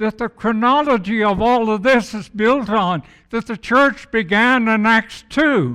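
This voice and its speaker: A man projects a raised, high-pitched voice with a bright, sharp tone. He speaks at a fairly slow pace. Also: very clean recording, silent background. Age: old. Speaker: guest preacher. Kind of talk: sermon. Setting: church with congregation.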